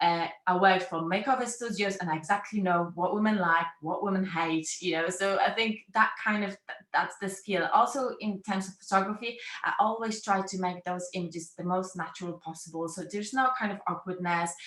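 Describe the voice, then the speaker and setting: This woman has a medium-pitched voice and speaks with a non-native accent. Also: fairly even intonation, moderate pace, hardly any pauses. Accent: foreign accent, noticeable. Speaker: brand photographer. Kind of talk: interview.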